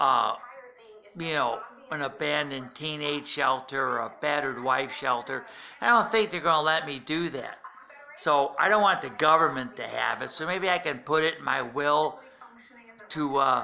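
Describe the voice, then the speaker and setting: Noticeable background noise sits behind a man speaking at a moderate pace in a fairly high pitch. He varies his pitch in an ordinary way and leaves long, frequent pauses. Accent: American. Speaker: political commentator. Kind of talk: rant. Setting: at home at night.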